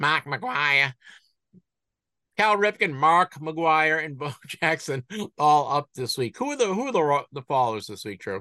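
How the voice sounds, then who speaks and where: A man's fairly high, bright, sharp voice with a slight Boston accent, lively intonation, and big swings in loudness, dry and close with no echo over a quiet background. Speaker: sports card market podcast host. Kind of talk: casual chat. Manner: halting.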